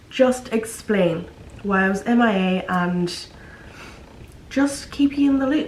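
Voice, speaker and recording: With a lot of long, frequent pauses, a woman with an Irish accent speaks at a very slow pace and a fairly high pitch, her intonation lively, amid audible room echo and noticeable background noise. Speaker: vlogger. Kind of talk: casual vlog talk. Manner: rambling filler-heavy speech.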